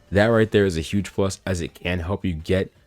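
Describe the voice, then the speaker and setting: An energetic man's voice at a very deep, low pitch, with music in the background. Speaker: gaming YouTuber. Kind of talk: gaming commentary video. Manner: fast; casual, energetic.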